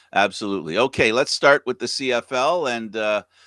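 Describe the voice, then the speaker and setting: At a moderate pace, a bright, sharp voice with ordinary pitch variation comes through dry and close with no echo, in a very clean recording with a silent background. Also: man. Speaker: live news show host. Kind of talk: casual news chat.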